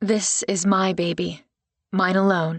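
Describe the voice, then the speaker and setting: A put-on character voice, raspy and fairly slow. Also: woman. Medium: read story.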